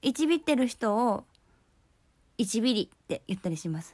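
In a Kyoto accent, a woman speaks at a moderate pace. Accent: Kansai (Kyoto) Japanese. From Kyoto, Japan. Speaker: podcast host. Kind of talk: casual solo talk. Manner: cheerful, chatty.

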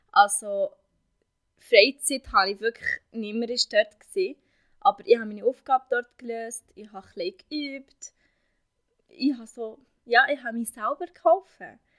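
With long, frequent pauses and big swings in loudness, a woman speaks at a high pitch and moderate pace with lively intonation, the sound dry and close with no echo. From Syria. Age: 20s. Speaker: vocational trainee. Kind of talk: interview. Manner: halting.

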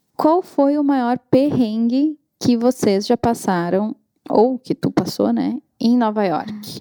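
Her voice is fairly high in pitch with a dark, mellow tone and ordinary pitch variation. The woman speaks at a very slow pace, and the sound is dry and close with no echo. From Brazil. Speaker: guest interviewer, colleague of host. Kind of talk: casual interview chat.

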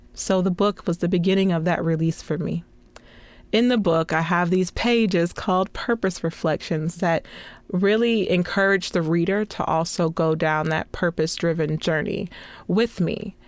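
Very clean, with a silent background, the recording catches a woman speaking at a moderate pace in an unremarkable speaking voice, her pitch fairly low. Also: fairly even intonation, very even loudness. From small-town Florida. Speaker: podcast host and television producer. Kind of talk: personal testimony monologue.

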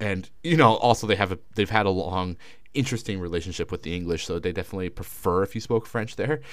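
A man with a Canadian accent at a very fast pace, with fairly low pitch and ordinary pitch variation. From Canada. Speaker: podcast co-host. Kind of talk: casual chat.

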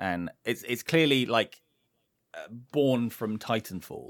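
Here a man is speaking. His intonation is lively. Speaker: video game streamer. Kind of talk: casual chat.

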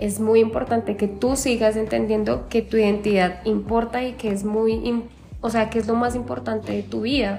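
Clearly audible background noise behind a woman talking at a moderate speed. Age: 20s. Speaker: dancer and choreographer. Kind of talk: casual interview chat.

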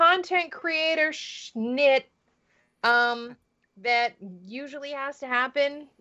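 A woman speaks at a very slow pace in a bright, sharp tone against a quiet background. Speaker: podcast co-host. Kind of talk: casual chat.

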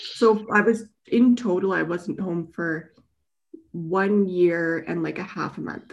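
A woman with a Western Canadian accent, at a very slow pace. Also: medium pitch for a woman, ordinary pitch variation. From British Columbia, Canada. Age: 30s. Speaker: wheelchair user with spinal cord injury. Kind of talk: interview.

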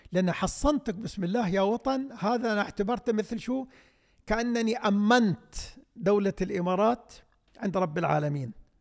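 Speaking fairly slowly, this man has a high-pitched voice. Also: ordinary pitch variation. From UAE. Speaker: poet and writer. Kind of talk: interview.

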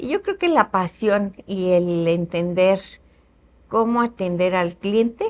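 A woman speaks at a medium pitch. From Mexico, Querétaro. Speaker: businesswoman. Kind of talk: interview.

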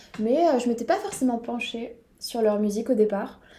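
A voice at a moderate pace, with audible room echo and noticeable background noise. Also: woman. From southwest France. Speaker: podcast co-host. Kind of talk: casual chat.

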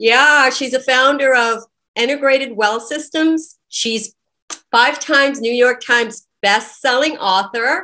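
A woman's high-pitched voice is raised and projected, with a bright, sharp tone. She speaks at a fairly slow pace with ordinary pitch variation. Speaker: podcast host, realtor. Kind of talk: podcast interview. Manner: excited, effusive.

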